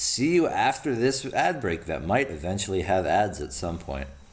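Vocal fry marks this man's fairly low voice, which swings very widely in pitch at a moderate pace. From Oregon. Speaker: college radio host. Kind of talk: casual chat. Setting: studio.

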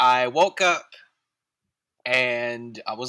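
A man is talking. His voice has a bright, sharp tone. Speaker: animator in training and artist. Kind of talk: casual chat.

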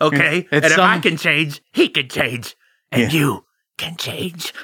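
Raspy and put-on, the man's character voice is clearly an act. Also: fairly high pitch for a man, fairly slow pace. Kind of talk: comic overacting. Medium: actual play. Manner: laid-back stoner drawl, cocky and mocking.

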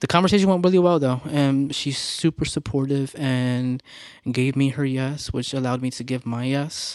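A man's normal speaking voice, medium in pitch, with fairly even intonation and a fairly slow pace, on a very clean recording with a silent background. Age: 30s. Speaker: church drummer. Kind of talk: casual chat.

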